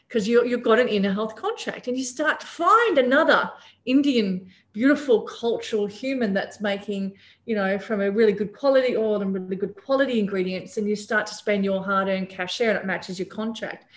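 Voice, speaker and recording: A woman talks at a fairly quick pace in a fairly high, somewhat breathy voice. She has an Australian accent. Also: ordinary pitch variation. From Papua New Guinea. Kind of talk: casual interview. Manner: animated.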